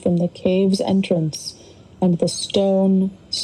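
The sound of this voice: Reading aloud in an unforced voice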